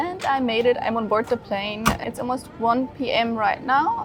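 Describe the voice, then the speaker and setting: High-pitched woman's voice with ordinary pitch variation amid noticeable background noise. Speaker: travel vlogger. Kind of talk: vlog narration. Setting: airport and airplane. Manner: sluggish, drowsy.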